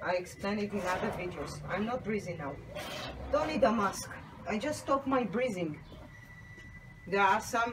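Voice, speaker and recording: A woman speaks at a medium pitch with lively intonation, leaving long, frequent pauses. Audible room echo and noticeable background noise surround her voice. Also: moderate pace. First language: Hebrew. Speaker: soapmaker. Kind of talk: tutorial. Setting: home workshop, partly on a balcony.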